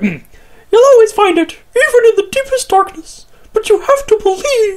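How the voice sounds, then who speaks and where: Squeaky and extremely high-pitched, this is a put-on character voice. It moves at a moderate pace. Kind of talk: reading game dialogue aloud. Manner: cheerful, upbeat.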